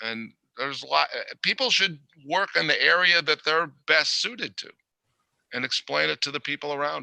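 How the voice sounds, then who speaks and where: A man speaks at a moderate pace, his loudness swinging widely, in a dry, close recording with no echo. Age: 60s. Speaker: adult film producer and business owner. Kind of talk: interview.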